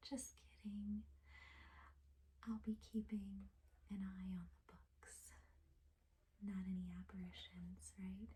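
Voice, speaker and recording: Soft-spoken, a woman talks at a very slow pace. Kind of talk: ASMR roleplay for sleep, librarian talking to the listener.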